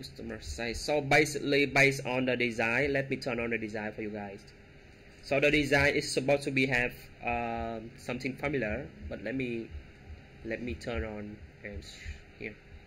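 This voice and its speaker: A man's bright, sharp voice with vocal fry, at a moderate pace, with ordinary pitch variation, big swings in loudness, and long, frequent pauses. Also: medium pitch for a man. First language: not English. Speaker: web development tutorial creator. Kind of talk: coding tutorial. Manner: halting, many fillers.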